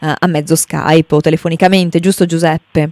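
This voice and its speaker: A woman with a fairly low pitch talks fairly quickly in a monotone, flat intonation, recorded dry with no echo over a quiet background. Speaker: radio host. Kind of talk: radio show hosting. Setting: radio studio. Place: studio.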